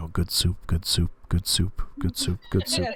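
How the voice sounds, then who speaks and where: In a put-on character voice, a man mumbles quietly at a fairly slow pace, his very deep, low pitch held at very even loudness. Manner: quiet mumbling.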